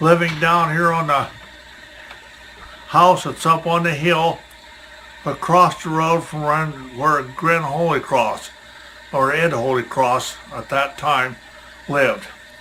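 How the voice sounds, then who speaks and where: A man's fairly high, fairly even voice at a very slow pace, with long, frequent pauses and noticeable background noise. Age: 80s+. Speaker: retired farmer, museum volunteer. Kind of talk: oral history interview.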